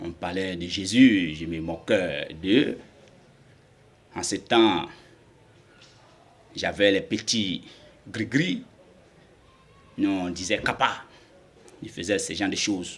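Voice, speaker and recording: A man's very deep, low pitch at a very slow pace, with long, frequent pauses and big swings in loudness. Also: ordinary pitch variation. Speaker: convert giving testimony. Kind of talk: testimony. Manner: halting.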